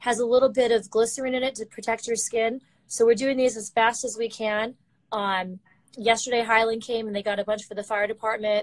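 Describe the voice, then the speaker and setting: A woman talks at a fairly quick pace in a monotone, flat intonation. The background is quiet. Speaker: remote guest. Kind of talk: interview answer, product explanation. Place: office. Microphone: video call.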